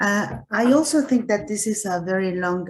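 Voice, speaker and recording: A somewhat breathy woman with a Spanish accent, lively intonation and a moderate pace. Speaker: researcher panelist. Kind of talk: panel discussion. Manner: hesitant, many fillers.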